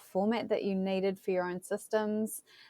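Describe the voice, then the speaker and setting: A woman with a New Zealand accent at a moderate pace, in a dry, close sound with no echo and a quiet background. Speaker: tech company representative, GIS professional. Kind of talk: interview.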